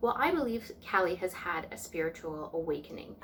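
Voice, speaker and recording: Very wide swings in pitch come through along with noticeable background noise. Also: woman. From Canadian Prairies. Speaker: tarot reader and spiritual vlogger. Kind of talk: casual vlog talk. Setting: at home, sitting on the floor.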